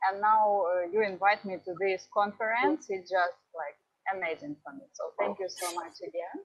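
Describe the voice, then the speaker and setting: A woman speaks at a medium pitch and a moderate pace. Her pitch varies in an ordinary way, while her loudness swings a lot. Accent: Ukrainian. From Ukraine. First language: Russian. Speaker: travel vlogger. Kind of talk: conference talk. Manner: halting.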